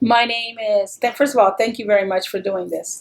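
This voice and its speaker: With a Texan accent, a woman speaks at a fairly quick pace, her fairly high pitch carrying fairly even intonation. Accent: Texan American English. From Texas, El Paso (border city). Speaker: interviewee. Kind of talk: oral history interview.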